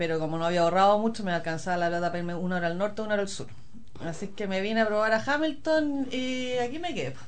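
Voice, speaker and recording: Over noticeable background noise and audible room echo, a woman with a Chilean accent talks very fast at a medium pitch with lively intonation. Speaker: former community radio host, mother. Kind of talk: casual interview.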